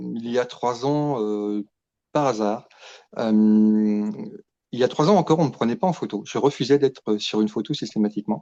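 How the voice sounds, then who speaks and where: A man's dark, mellow tone at a medium pitch, moderate pace, ordinary pitch variation and long, frequent pauses. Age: 50s. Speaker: fashion model. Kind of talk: interview. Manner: hesitant, many fillers.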